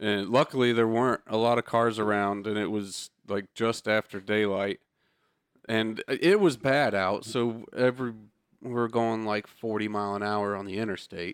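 A man's fairly low, plain, everyday voice at a moderate pace with fairly even intonation, dry and close with no echo, on a very clean recording with a silent background. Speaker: podcast co-host, car enthusiast. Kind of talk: casual chat.

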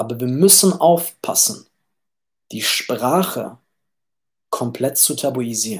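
A man talks very slowly with lively intonation at a medium pitch, his voice somewhat breathy. Long pauses come often. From Germany, Düsseldorf. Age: 20s. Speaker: podcast host. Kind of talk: casual livestream monologue. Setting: livestream. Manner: animated; repeats words, stumbling.

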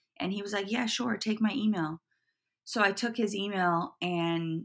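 Here a woman uses a plain, everyday voice. She goes at a fairly slow pace with fairly even intonation. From US Pacific Northwest, Portland. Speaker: footwear designer. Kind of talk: interview.

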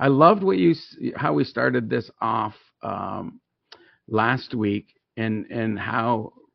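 Vocal fry marks this man's voice, set at a medium pitch. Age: 50s. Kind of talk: casual faith conversation. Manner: animated, preachy.

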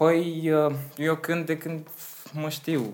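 A man speaks at a very slow pace. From Romania, Slobozia (Ialomița). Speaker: singer and vocal coach. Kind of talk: interview.

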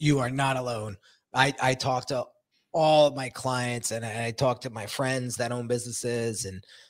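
On a very clean recording with a silent background, a man speaks in an energetic tone at a medium pitch. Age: 40s. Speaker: podcast host and brand coach. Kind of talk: casual interview chat. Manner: energetic, laughs often.

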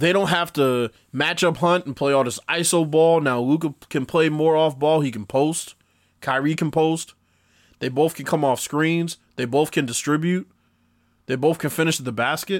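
A plain, everyday voice from a fairly high-pitched man with an American accent, ordinary pitch variation and a moderate pace, on a very clean recording with a silent background. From Boston, Massachusetts. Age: 20s. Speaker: sports podcast host and musician. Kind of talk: casual solo podcast monologue.

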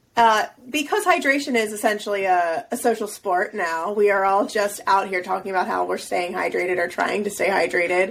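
A woman in a normal speaking voice at a fairly quick pace, with ordinary pitch variation and hardly any pauses. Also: medium pitch for a woman. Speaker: podcast co-host. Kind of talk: casual chat.

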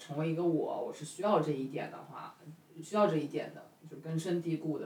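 The pace is fairly quick, and there is noticeable background noise. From China, northeastern family. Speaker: podcast host. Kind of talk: casual chat. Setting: home kitchen, making dumplings.

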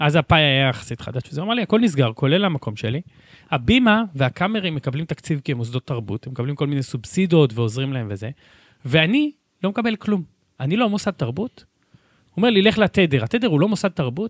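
A man's fairly quick speech with very wide pitch swings, dry and close with no echo, on a very clean recording with a silent background. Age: 20s. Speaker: city council member. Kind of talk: casual chat.

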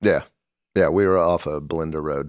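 Recorded very cleanly against a silent background, a man with an American accent speaks in a very deep, low pitch with fairly even intonation, the sound dry and close with no echo. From US Midwest, Kansas City. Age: middle-aged. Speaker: documentary filmmaker. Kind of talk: casual interview.

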